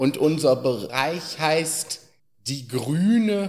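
Very wide pitch swings at a very slow pace. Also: man. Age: 30s. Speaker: care home resident, blind wheelchair user. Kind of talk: casual interview. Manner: hesitant.

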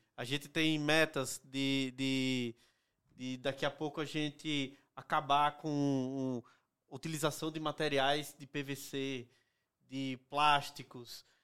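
A bright, sharp tone, monotone and flat, at a very slow pace on a very clean recording with a silent background. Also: man, fairly high pitch for a man. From Northeast Brazil. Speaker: company executive. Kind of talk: casual interview.

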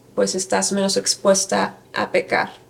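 A woman at a medium pitch, speaking at a very slow pace over noticeable background noise. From Mexico, Querétaro. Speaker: church member, women's teacher. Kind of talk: interview testimony.

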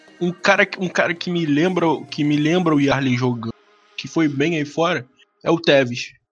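Music plays in the background as a man speaks at a moderate pace. His pitch is fairly high, with ordinary pitch variation. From Rio de Janeiro, West Zone (Realengo). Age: 20s. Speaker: podcast co-host, history student. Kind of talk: casual chat.

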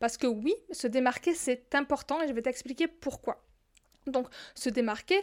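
A woman's high-pitched voice with a southern French accent, at a fairly slow pace and with ordinary pitch variation, in a very clean recording with a silent background. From southern France. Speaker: business coach podcaster. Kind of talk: solo podcast monologue.

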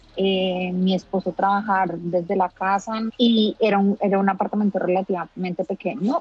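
A woman's medium-pitched voice at a moderate pace, fairly even in intonation, with a dry, close sound and no echo. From Colombia. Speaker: expat mother. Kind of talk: interview testimony. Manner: hesitant, many fillers.

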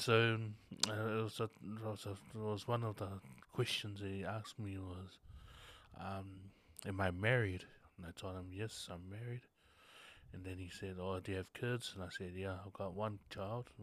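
A man with a Tongan accent speaks in a fairly low pitch with a monotone, flat intonation and long, frequent pauses. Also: moderate pace. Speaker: visual artist. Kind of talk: casual interview chat. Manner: halting.

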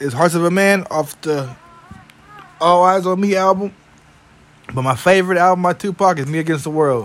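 Noticeable background noise sits behind a man who speaks with a high pitch. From San Francisco Bay Area. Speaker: podcast host. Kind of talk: casual chat.

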